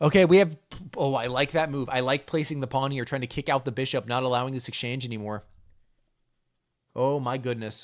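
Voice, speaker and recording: Speaking fairly quickly but with long, frequent pauses, a man at medium pitch keeps his intonation fairly even. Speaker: chess streamer hosting viewer tournament. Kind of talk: live commentary. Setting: live stream.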